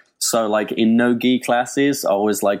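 A man with an English accent is heard on a very clean recording against a silent background. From Birmingham, England. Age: 20s. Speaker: web developer. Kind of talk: casual chat.

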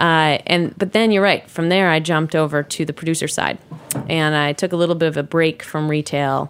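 With an American accent, a woman speaks at a very deep, low pitch. Her intonation is fairly even, and the recording is very clean with a silent background. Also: fairly quick pace. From US, New York City. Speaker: cheese industry producer and co-host. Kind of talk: casual interview.

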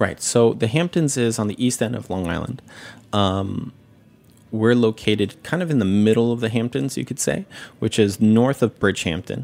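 At a moderate pace, a man talks in a plain, everyday voice at a medium pitch with ordinary pitch variation. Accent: American. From New York City, with childhood years in Japan. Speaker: sake sommelier and restaurant owner. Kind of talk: casual interview chat. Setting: studio.

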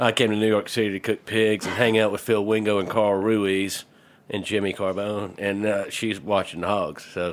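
A man with a Southern US accent, monotone and flat in intonation, at a moderate pace. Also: fairly low pitch for a man. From US South (Georgia). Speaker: heritage pig farmer. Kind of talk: casual chat.

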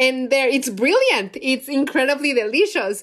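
An animated voice with a Spanish accent comes through on a very clean recording with a silent background. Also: woman. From Mexico City. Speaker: chef and cookbook author. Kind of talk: casual chat.

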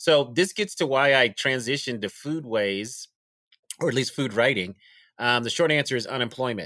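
A man talks with an American accent in a bright, sharp tone. The recording is very clean, with a silent background. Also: medium pitch for a man, ordinary pitch variation, moderate pace. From Denver, Colorado. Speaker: food historian and author. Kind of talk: interview.

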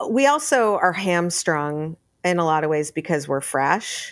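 A plain, everyday voice from a woman, fairly low in pitch and fairly slow, on a very clean recording with a silent background. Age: 50s. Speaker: podcast host and sauce brand founder. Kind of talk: interview.

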